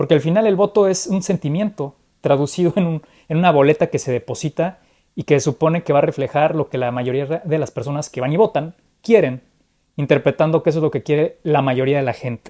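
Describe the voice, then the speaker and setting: At a fairly quick pace, the voice comes through on a very clean recording with a silent background. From Mexico. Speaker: political commentator. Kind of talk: conversational political analysis. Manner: animated, with frequent repetitions.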